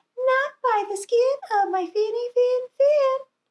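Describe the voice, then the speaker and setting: A woman's squeaky, put-on character voice at an extremely high pitch and a fairly slow pace. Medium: read story.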